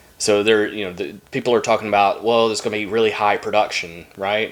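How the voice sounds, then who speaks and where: A man with a Southern US accent speaks in a fairly low pitch. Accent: southern twang. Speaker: trading card YouTuber. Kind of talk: casual box-break commentary. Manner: casual, halting with fillers.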